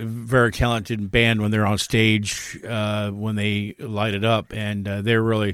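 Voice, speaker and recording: In a Midwestern American accent, a man speaks fairly slowly in a fairly low, monotone, flat voice. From US Midwest, northern Indiana. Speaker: podcast co-host. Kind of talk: casual chat.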